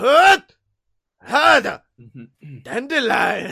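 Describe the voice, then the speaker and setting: A high-pitched, female-sounding put-on character voice, shouting. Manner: aggravated, shouting grunts.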